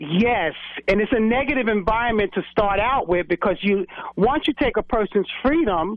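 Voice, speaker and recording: The speaker talks in a New York accent at a moderate pace, with lively intonation and very even loudness. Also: woman, fairly high pitch for a woman. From New York City, Brooklyn. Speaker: former correction officer. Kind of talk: radio interview.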